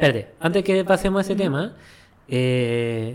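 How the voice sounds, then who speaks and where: A fairly slow pace in a Chilean accent. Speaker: podcast co-host. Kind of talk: casual chat.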